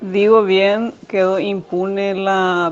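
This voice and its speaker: A woman speaks at a very slow pace. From Paraguay. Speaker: teacher. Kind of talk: radio program testimony.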